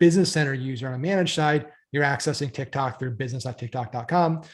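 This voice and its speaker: With a somewhat breathy voice, a man pitched fairly high for his sex moves at a fairly quick pace, his pitch varying in an ordinary way. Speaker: marketing webinar presenter. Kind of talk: webinar training. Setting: live webinar with screen share.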